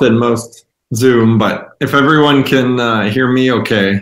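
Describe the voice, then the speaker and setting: A man with an American accent at a fairly slow pace. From US Midwest. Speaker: yeast company representative. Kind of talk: presentation. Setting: video call. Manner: loud.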